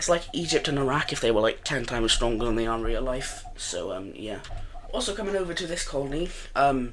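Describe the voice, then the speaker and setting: Noticeable background noise and audible room echo surround the recording. A man speaks at a very fast pace. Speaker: gaming video narrator. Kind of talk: gameplay commentary. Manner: casual, hesitant with many fillers.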